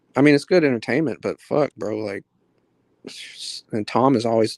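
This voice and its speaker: Recorded dry and close with no echo, a man talks at a fairly quick pace in a medium pitch with ordinary pitch variation. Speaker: former moderator. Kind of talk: casual chat.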